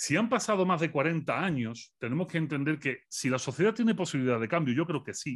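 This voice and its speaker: An unremarkable speaking voice from a man, fairly high-pitched, with lively intonation. He talks at a fairly quick pace with hardly any pauses against a quiet background. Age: 40s. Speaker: philosopher. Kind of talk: interview.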